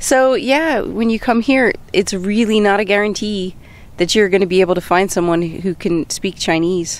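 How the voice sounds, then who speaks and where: The speaker has an unremarkable speaking voice with ordinary pitch variation. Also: woman, medium pitch for a woman, moderate pace. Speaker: co-host. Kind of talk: casual chat.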